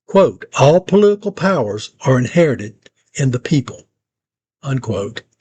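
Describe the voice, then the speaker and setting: A man with an American accent, fairly high in pitch and somewhat breathy, with lively intonation at a fairly slow pace, dry and close with no echo. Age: 60s. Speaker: local video producer and presenter. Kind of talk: scripted narration.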